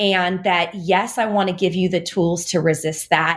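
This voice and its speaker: Against a quiet background, a woman talks in an ordinary speaking voice at a medium pitch and a fairly slow pace. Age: 40s. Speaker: registered dietitian and author. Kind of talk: interview conversation.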